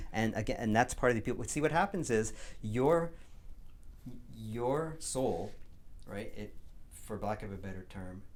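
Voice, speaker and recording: A man of medium pitch talks at a fairly slow pace with lively intonation and vocal fry. His loudness swings widely, and he leaves long, frequent pauses. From Quebec. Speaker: community radio host. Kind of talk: interview. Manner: halting with frequent repetitions.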